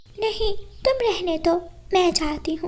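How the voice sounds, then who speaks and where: A woman performs a cartoonish character voice at an extremely high pitch. Her pitch variation is ordinary. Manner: gentle, protective.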